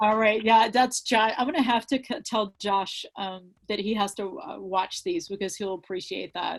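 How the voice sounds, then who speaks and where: This woman has an unremarkable speaking voice, fairly high in pitch, with lively intonation. She talks at a moderate pace with hardly any pauses. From Virginia, US. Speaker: author. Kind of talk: casual chat.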